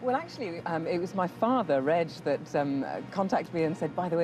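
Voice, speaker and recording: A woman talks at a very fast pace with a fairly low pitch. Music plays in the background. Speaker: voiceover artist. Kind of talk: TV interview. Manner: halting.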